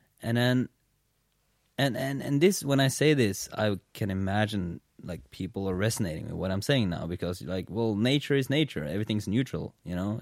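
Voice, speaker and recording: A man with a plain, everyday voice talks at a moderate pace and a fairly low pitch, his intonation lively. The sound is dry and close, with no echo. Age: 20s. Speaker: podcast host. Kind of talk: casual chat. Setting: in his apartment.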